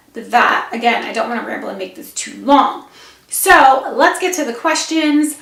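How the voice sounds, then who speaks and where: A woman speaks at a moderate pace in a high voice, her intonation lively and her loudness swinging widely, over noticeable background noise. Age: 30s. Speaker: vlogger. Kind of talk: casual vlog. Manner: rambling, casual.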